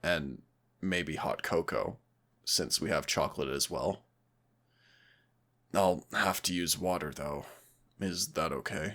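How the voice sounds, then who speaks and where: In a raspy put-on character voice, the speaker goes at a fairly slow pace with long, frequent pauses. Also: man, very deep, low pitch for a man. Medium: solo performance. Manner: warm, gentle, affectionate.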